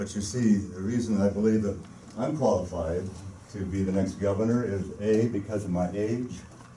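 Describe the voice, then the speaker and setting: With noticeable background noise and audible room echo, a man speaks at a moderate pace in a fairly low pitch with fairly even intonation. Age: 70s. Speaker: gubernatorial candidate. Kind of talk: press conference speech. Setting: press conference.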